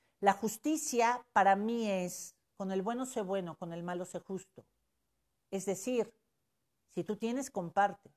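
At a fairly slow pace with long, frequent pauses, a woman speaks in an animated tone, medium in pitch with ordinary pitch variation. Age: 50s. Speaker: life coach. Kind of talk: live stream talk. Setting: live stream.

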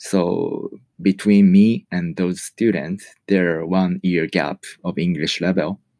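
A man with a Japanese accent speaks very slowly at a very deep, low pitch, his intonation fairly even. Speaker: podcaster and English learner. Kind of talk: personal monologue. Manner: halting.

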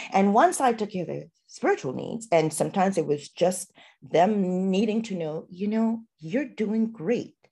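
Her somewhat breathy voice has a dark, mellow tone, and this woman talks at medium pitch and a moderate pace with ordinary pitch variation. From Trinidad and Tobago. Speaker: physician and artist. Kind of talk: casual interview.

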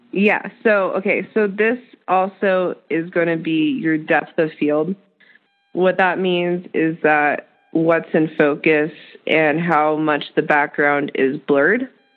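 With music in the background, a woman of fairly low pitch speaks at a very slow pace and very even loudness. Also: ordinary pitch variation. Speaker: podcast co-host, photographer. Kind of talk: casual tutorial chat.

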